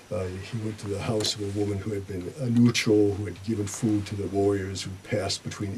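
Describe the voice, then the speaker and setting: Over noticeable background noise, a man with an American accent and a fairly low voice speaks at a fairly quick pace with fairly even intonation. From Boston, Massachusetts, US. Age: 70s. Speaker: retired sociology professor. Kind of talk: radio interview. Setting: radio studio. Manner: halting, frequent uh fillers.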